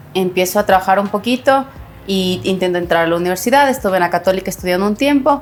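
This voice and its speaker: A woman at a very fast pace and medium pitch, with music in the background. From Ecuador, Ibarra. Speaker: economist, personal finance expert. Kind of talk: podcast interview.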